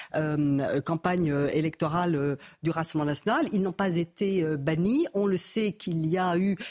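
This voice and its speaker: Noticeable background noise sits behind a woman with a fairly low pitch. She talks at a fairly slow pace with ordinary pitch variation and very even loudness. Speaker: politician. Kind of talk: panel debate.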